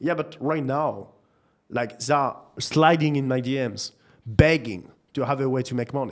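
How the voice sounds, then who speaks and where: A man with a French accent speaks at a moderate pace. His voice sits at medium pitch with ordinary variation. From France, Nantes. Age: 20s. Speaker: marketing entrepreneur. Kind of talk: casual chat.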